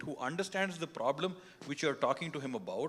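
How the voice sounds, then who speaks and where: Here a man with a Kannada accent talks at a fairly quick pace. His fairly high pitch shows ordinary variation. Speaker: politician. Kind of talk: panel discussion.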